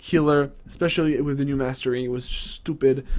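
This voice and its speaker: A man with a non-native accent, in a very clean recording with a silent background. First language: not English. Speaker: gaming streamer. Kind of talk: game patch notes rundown on stream. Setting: livestream. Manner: animated, casual with many fillers.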